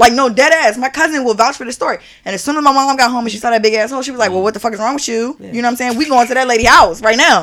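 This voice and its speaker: Animated and very fast, a woman with a high voice talks with hardly any pauses and ordinary pitch variation over noticeable background noise. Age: 30s. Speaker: podcast host. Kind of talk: casual chat.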